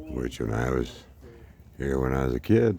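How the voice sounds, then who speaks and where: A man's very slow speech with vocal fry. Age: 60s. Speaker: travel vlogger. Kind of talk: travel vlog narration. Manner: casual, with frequent fillers.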